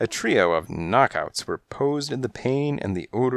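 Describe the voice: It is plain reading aloud, carried by lively intonation.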